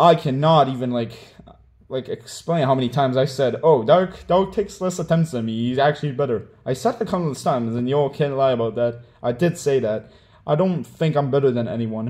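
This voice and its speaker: With ordinary pitch variation, a man talks in a medium register. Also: fairly quick pace, quiet background. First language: Hebrew. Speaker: gaming content creator. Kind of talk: apology video monologue. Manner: casual, filler-heavy.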